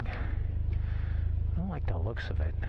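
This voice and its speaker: A man speaks over loud background noise. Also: dry sound with no echo. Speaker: motorcycle vlogger. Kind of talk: casual vlog chat. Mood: wry, self-deprecating. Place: street. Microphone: helmet.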